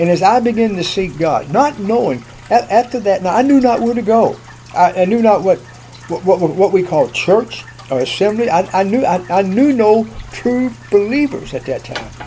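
High-pitched male voice at a moderate pace, lively in intonation, with noticeable background noise. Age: 70s. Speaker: preacher. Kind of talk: sermon. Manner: earnest, preacherly.

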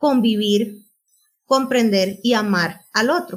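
A woman is speaking. Her pace is very slow. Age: 40s. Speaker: podcast co-host, journalist. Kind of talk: casual chat.

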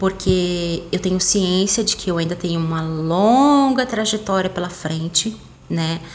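Delivered at a fairly slow pace with ordinary pitch variation, the speech has noticeable background noise. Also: woman. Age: 30s. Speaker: podcaster. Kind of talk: casual monologue.

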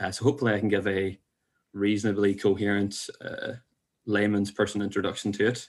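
In a Northern Irish accent, a man talks at a fairly quick pace with a fairly low pitch and monotone, flat intonation. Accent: Northern Irish (Belfast). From Northern Ireland. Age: 20s. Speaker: podcast guest. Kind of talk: casual chat.

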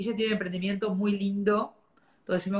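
A somewhat breathy woman's voice in a Rioplatense accent. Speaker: podcast host. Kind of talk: casual chat. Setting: video livestream.

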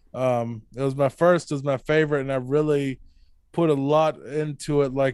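The clip has an ordinary speaking voice at a moderate pace. Its intonation is fairly even. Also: man. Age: 30s. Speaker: horror novelist and podcast host. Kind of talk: casual interview.

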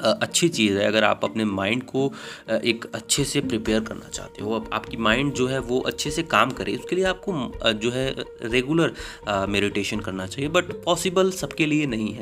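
Amid noticeable background noise, a man at a medium pitch makes very wide pitch swings. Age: young. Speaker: podcast host. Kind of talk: solo monologue.

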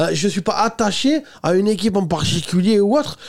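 A man with a high pitch. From France, Toulouse. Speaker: podcast host. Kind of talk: casual chat. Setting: studio.

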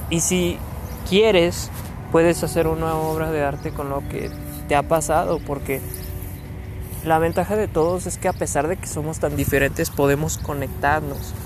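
The voice has a calm tone with long, frequent pauses. Audible room echo and music sit in the background. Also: man, moderate pace. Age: 20s. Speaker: vlogger. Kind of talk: reflective monologue. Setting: outdoors.

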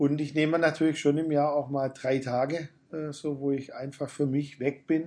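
Against a quiet background, a man talks at a moderate pace with a fairly high pitch. His tone is dark and mellow, and his intonation is monotone and flat. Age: 50s. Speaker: pastor. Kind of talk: interview. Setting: backstage room after a church service.

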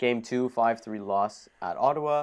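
Speaking in an Ontario accent, a man uses ordinary pitch variation against a quiet background. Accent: Canadian (Ontario). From Ontario, Canada (Thornhill). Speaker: hockey podcast host. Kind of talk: casual chat. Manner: animated.

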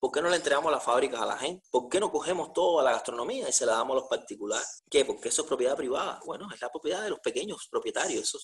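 Here a man speaks at a very fast pace. There are hardly any pauses. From Cuba. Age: 40s. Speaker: jurist, podcast co-host. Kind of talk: conversational debate.

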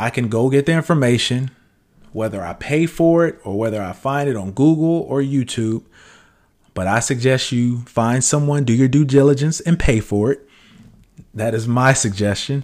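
A man with an unremarkable speaking voice talks at a moderate pace in a medium pitch with lively intonation. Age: 40s. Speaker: podcast host, aspiring entrepreneur. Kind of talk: casual solo monologue.

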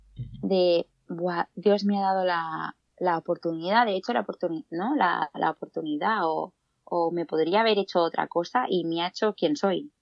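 With typical rises and falls in pitch, this is an unremarkable speaking voice. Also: woman, fairly low pitch for a woman, moderate pace. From Catalonia, Spain (Granollers). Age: 20s. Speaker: nursing graduate, guest presenter. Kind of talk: casual chat.

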